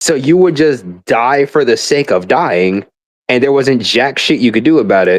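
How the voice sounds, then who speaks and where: A man at medium pitch with lively intonation and a moderate pace. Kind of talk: casual gaming rant. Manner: rambling.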